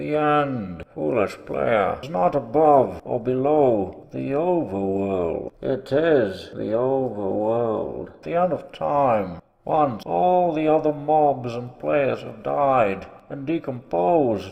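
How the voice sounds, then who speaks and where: Doing a put-on character voice, a man talks very slowly at a medium pitch with hardly any pauses. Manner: menacing, angry.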